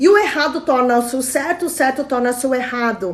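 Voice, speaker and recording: Over noticeable background noise, a woman speaks with a high pitch and lively intonation. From Brazil, Chinese immigrant family. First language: Mandarin (speaking Portuguese). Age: 40s. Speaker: traditional Chinese medicine therapist. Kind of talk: live stream talk with viewer comments.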